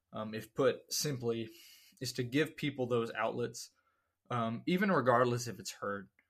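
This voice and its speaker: A man with an American accent uses an unremarkable speaking voice at medium pitch, a moderate pace and ordinary pitch variation, in a very clean recording with a silent background. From US South. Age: 20s. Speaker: podcast host. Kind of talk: solo monologue podcast.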